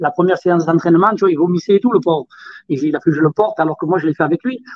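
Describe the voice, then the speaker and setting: High-pitched, a man talks at a very fast pace with ordinary pitch variation. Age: 40s. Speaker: former motocross world champion. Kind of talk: casual chat.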